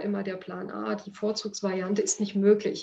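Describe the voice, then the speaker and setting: A woman's medium-pitched, plain, everyday voice with fairly even intonation. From Upper Lusatia, eastern Saxony. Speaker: foundation director. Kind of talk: personal storytelling.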